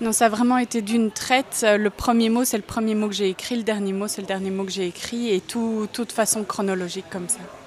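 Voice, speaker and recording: The speaker's intonation is monotone and flat. Noticeable background noise runs underneath. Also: woman, fairly high pitch for a woman, hardly any pauses. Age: 20s. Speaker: psychologist and first-time novelist. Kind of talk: interview. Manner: hesitant, many fillers and repetitions.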